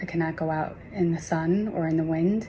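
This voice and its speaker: A woman with an American accent speaks at a moderate pace and a fairly low pitch. Her tone is dark and mellow and somewhat breathy. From Long Island, New York. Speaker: lasik patient. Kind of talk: testimony.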